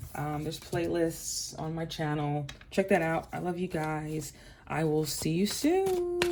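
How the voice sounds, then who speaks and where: Noticeable background noise and audible room echo fill the recording. Through them, a woman talks at a fairly slow pace. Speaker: tarot card reader. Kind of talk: tarot reading. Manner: choppy, halting.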